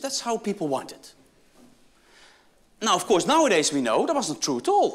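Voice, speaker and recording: Speaking with a Dutch accent, a man lets his pitch swing very widely. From Netherlands. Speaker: business school professor. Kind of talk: keynote speech.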